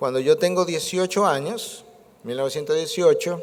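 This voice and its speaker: A man speaks in an ordinary speaking voice at a fairly slow pace, with ordinary pitch variation. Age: 60s. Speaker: preacher. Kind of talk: sermon.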